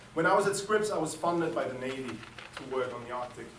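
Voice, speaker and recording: A man talks at a very fast pace, with noticeable background noise and audible room echo. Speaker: climate scientist. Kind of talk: lecture. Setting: lecture hall with audience. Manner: halting; soft-spoken. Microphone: no microphone.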